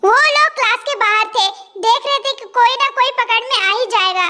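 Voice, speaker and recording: A woman puts on a squeaky character voice at an extremely high pitch. She speaks at a fairly quick pace. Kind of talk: casual storytelling narration. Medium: fan dub.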